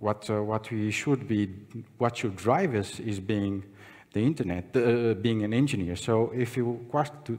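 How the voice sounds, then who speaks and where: A man is talking. He keeps a moderate pace. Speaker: conference speaker. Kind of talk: conference talk. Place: hall. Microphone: podium.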